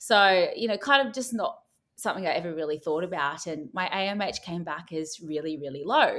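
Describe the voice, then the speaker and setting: Speaking with an Australian accent at a fairly quick pace, a woman uses lively intonation and a fairly low pitch, the recording very clean with a silent background. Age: 30s. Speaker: TV personality. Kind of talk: interview.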